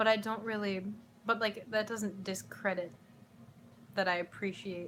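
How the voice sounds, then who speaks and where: A woman speaks with an American accent at a fairly slow pace. Her intonation is flat and monotone. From US Midwest, Chicago. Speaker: YouTuber. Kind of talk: casual Q&A vlog. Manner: casual, rambling with fillers.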